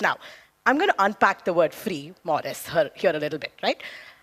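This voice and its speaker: The woman's voice comes across dry and close, with no echo. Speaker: debate panelist. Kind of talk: debate speech. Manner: loud; animated.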